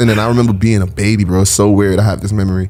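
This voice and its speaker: Over noticeable background noise, a man with a Brooklyn accent speaks very fast in a fairly low voice with fairly even intonation. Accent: New York (Brooklyn). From Brooklyn, New York (Flatbush, Bed-Stuy), Caribbean family. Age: 20s. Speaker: rapper. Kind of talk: casual podcast interview.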